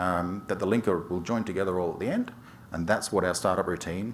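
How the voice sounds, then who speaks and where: In an Australian accent, a man with a very deep, low pitch talks at a fairly quick pace with ordinary pitch variation, and audible room echo surrounds him. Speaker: software developer, conference speaker. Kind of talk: technical conference talk. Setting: stage with audience. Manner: fast, skips syllables; hesitant fillers.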